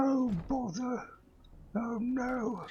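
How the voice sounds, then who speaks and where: This is a cartoonish character voice. Its pitch sits fairly high. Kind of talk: cartoon character impression. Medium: game stream. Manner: soft, mild, bumbling.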